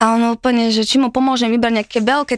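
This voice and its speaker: In a very clean recording with a silent background and a dry, close sound free of echo, a woman with a fairly high voice talks at a fairly quick pace in a flat monotone. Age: 20s. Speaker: guest sharing dating stories. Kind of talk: casual chat.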